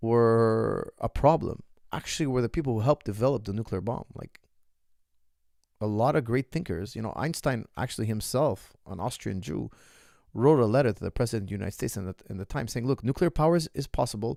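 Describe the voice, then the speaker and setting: Lively intonation and a fairly quick pace come through in a very clean recording with a silent background, dry and close with no echo. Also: man, medium pitch for a man. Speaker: martial arts coach. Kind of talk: live stream Q&A chat. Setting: live stream chat room. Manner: animated, repetitive.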